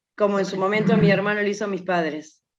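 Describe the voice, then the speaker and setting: Room echo is audible as a woman speaks at a medium pitch. Her intonation stays fairly even. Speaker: workshop participant. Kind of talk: personal testimony.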